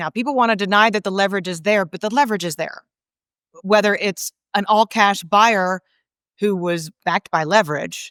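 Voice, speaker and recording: In an American accent, a woman speaks at a moderate pace and medium pitch with ordinary pitch variation, the recording very clean with a silent background and a dry, close sound with no echo. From Connecticut, US Northeast. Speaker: economist, former central bank advisor. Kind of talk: interview. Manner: animated.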